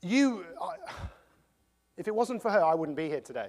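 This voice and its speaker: In an English accent, a man speaks at a fairly quick pace and a high pitch. His tone is animated and his intonation lively. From England. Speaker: motivational speaker. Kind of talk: motivational talk.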